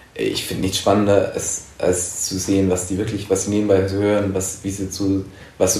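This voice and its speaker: Noticeable background noise and audible room echo surround a man whose fairly low voice moves at a moderate pace with monotone, flat intonation. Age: 20s. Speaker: journalist. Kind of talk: interview. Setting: in-person recording.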